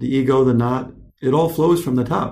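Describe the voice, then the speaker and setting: With audible room echo, a man speaks in an American accent at a medium pitch, somewhat breathy, with a dark, mellow tone. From US, California then Michigan. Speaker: podcast host. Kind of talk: casual chat.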